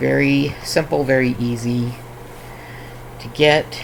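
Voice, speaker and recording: Noticeable background noise sits behind the recording. A man speaks at a very slow pace. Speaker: crafting streamer. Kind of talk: casual chat. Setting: live stream.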